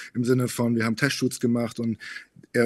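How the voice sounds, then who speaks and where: A man's voice at a medium pitch. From Bavaria, Munich; Bavaria. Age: 20s. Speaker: model, reality TV contestant; podcast guest. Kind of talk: interview. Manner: hesitant, many fillers. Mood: relaxed, slightly reflective. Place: studio. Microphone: studio mic.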